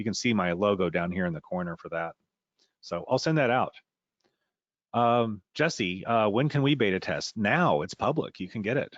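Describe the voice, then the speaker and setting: With a plain, everyday voice and lively intonation, a man talks at a moderate pace. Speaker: software trainer. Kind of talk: webinar tutorial. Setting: webinar.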